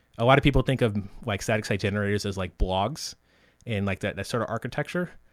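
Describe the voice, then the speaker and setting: In a very clean recording with a silent background, a man with a plain, everyday voice talks at a fairly low pitch with ordinary pitch variation. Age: 30s. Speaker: software developer and podcast host. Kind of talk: casual interview chat.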